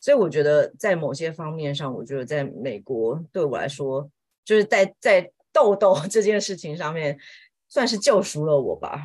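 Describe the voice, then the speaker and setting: Against a quiet background, a woman with a Taiwanese accent speaks in a very deep, low pitch, with lively intonation and big swings in loudness. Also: moderate pace. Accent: Taiwanese Mandarin. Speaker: homemaker and part-time Chinese teacher. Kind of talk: casual chat.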